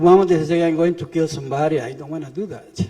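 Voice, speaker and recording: In a Spanish accent, a man talks at a fairly quick pace with a fairly high pitch and fairly even intonation. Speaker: refugee witness. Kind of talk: testimony. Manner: halting.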